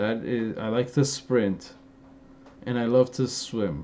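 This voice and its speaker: An animated man with an Armenian accent. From Los Angeles, Armenian-American. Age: 30s. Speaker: fitness youtuber. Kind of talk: live stream Q&A. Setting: live stream. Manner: casual, animated.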